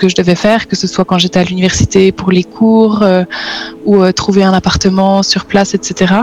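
A woman talks in a flat monotone at medium pitch and a moderate pace. Background noise is noticeable. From Switzerland (French-speaking). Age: 30s. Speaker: exchange programme alumna. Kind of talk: interview testimony.

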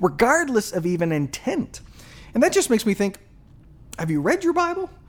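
A man speaks fairly quickly, his pitch swinging very widely. Noticeable background noise sits behind him. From Japan. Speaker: pastor and podcast host. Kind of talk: monologue commentary on faith and culture.

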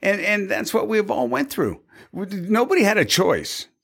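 The speaker is a man with an American accent. The recording is very clean, with a silent background. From US Pacific Northwest, Tacoma. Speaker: cybersecurity evangelist. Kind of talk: casual chat.

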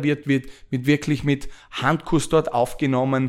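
A man speaks fairly slowly at a medium pitch with fairly even intonation. The recording is very clean, with a silent background. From Austria. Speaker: podcast host and real estate entrepreneur. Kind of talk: podcast monologue. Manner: hesitant with frequent filler sounds.

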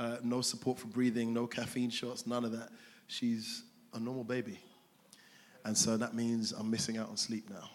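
A man with a medium pitch speaks in a monotone, flat intonation. Long, frequent pauses break his speech, and the room echo is audible. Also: moderate pace. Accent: London. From South London. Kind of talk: interview in a church service. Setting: church stage with congregation.

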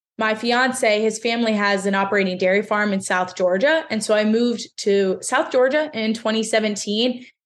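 A woman with an American accent and a normal speaking voice, fairly high in pitch, at a moderate pace with hardly any pauses, ordinary pitch variation and very even loudness. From central Pennsylvania. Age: 20s. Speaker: fitness coach. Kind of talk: interview.

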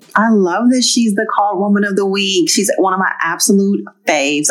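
A woman speaks at a fairly quick pace and a medium pitch, with noticeable background noise. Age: 30s. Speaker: podcast co-host. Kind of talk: casual chat.

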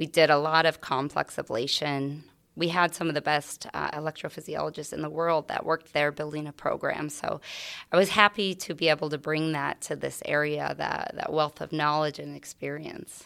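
A woman speaks with an American accent at a moderate pace, her pitch very deep and low. Her intonation is fairly even, with vocal fry. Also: very clean recording, silent background. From Iowa, US Midwest. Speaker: cardiology physician assistant. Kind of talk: interview.

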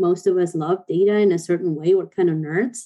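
A woman's dark, mellow tone at a moderate pace, in an Argentine accent. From Argentina. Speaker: online sales counselor. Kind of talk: panel discussion.

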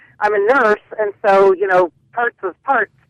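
An unremarkable speaking voice from a woman with an American accent, medium in pitch with ordinary pitch variation, at a fairly slow pace, in a dry, close sound with no echo. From Western Pennsylvania. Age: 40s. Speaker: nurse, radio caller. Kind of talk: call-in talk radio.

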